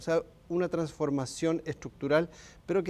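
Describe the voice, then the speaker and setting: Keeping a moderate pace, a man speaks with a dark, mellow tone. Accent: Chilean. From Chile. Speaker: human rights expert. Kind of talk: TV interview.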